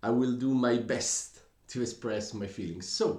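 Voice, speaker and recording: In a room with audible echo, a man at medium pitch speaks at a very slow pace with ordinary pitch variation. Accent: Italian. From Italy. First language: Italian. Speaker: music reaction youtuber. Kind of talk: casual commentary to camera. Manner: halting, with hesitations.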